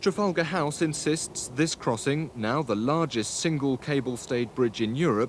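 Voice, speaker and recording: This man has an unremarkable speaking voice, pitched fairly high, and talks at a moderate pace. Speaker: TV news reporter, narrating the report. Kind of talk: television news report voiceover.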